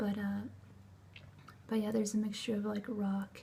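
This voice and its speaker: Soft-spoken and somewhat breathy, a woman with a dark, mellow tone and medium pitch talks in a flat monotone. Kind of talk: ASMR unboxing talk to camera.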